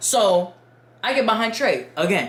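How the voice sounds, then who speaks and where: A woman talks in an animated tone. Noticeable background noise and audible room echo fill the recording. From Dominican Republic. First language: Spanish. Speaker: YouTuber storyteller. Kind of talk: casual storytime.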